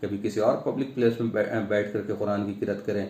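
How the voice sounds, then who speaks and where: With a dark, mellow tone, a man speaks at a fairly low pitch. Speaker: Islamic preacher (dawah worker). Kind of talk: religious talk to camera.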